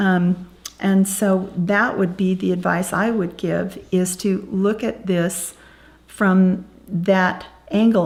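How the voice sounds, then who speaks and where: A woman with a medium pitch and a somewhat breathy voice talks at a very slow pace. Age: 60s. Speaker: birth grandparent. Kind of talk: interview testimony.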